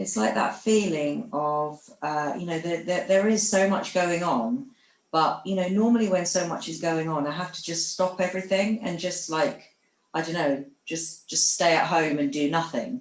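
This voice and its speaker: A woman talks with lively intonation, keeping to a fairly slow pace. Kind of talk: group therapy sharing. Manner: sing-song.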